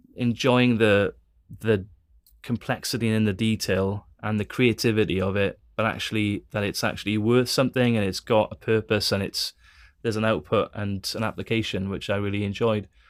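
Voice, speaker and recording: A man with a Welsh accent speaks at a moderate pace and a fairly low pitch, his intonation monotone and flat. The recording is very clean, with a silent background. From Wales. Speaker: theology school director and former engineer. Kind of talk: interview conversation. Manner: halting, many fillers and repeats.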